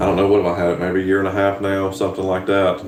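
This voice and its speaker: A man's very deep, low voice in a strong Southern US accent, with audible room echo and noticeable background noise. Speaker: farmer and YouTuber. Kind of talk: live stream chat.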